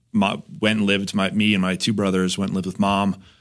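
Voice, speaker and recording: Talking at a very fast pace, a man with an American accent and a fairly low pitch is heard on a very clean recording with a silent background. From New Jersey. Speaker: insurance agent. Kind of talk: casual interview.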